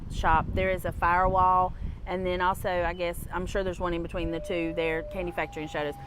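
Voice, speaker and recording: A woman's voice with audible room echo and noticeable background noise. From North Carolina, US South. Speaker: livestream co-host, local news. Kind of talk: live on-scene commentary. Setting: outdoors at fire scene. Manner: casual, conversational.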